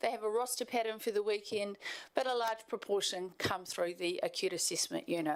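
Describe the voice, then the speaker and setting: A fairly quick delivery with ordinary pitch variation in a New Zealand accent. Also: woman. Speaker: health service manager presenting to council. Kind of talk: formal presentation. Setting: council meeting chamber.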